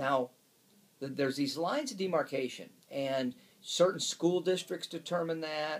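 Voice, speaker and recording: Using ordinary pitch variation, a man with an American accent speaks at a fairly slow pace and a fairly high pitch. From Detroit, Michigan. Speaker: real estate agent. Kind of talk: promotional talk to camera. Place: office. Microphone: camera far.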